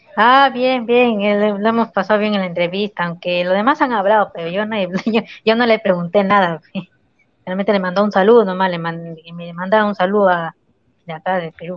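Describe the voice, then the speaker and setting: Fairly quick and medium in pitch, a woman's plain, everyday voice shows ordinary pitch variation. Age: 20s. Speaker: guest. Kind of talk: casual livestream chat.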